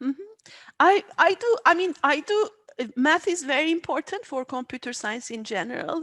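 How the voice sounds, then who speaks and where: With a Turkish accent, this voice swings very widely in pitch at a moderate pace, its tone bright and sharp, recorded very cleanly with a silent background and a dry, close sound with no echo. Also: woman, high pitch for a woman. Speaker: AI research scientist. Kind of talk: interview. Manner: halting.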